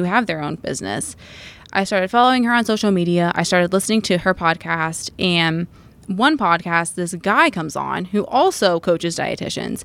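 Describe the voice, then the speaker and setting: In a normal speaking voice, a woman with a fairly low pitch talks at a moderate pace with ordinary pitch variation, on a very clean recording with a silent background. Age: 20s. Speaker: dietitian and business owner. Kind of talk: casual chat.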